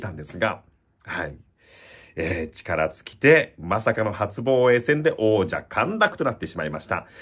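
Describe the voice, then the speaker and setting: With vocal fry and an energetic tone, a man speaks at a fairly quick pace against a quiet background. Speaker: bullfighting commentator. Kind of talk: event preview talk to camera. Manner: lively, energetic. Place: home room. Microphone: phone near.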